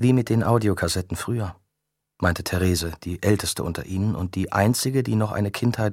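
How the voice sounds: This is a natural reading voice with ordinary pitch variation, set against a quiet background.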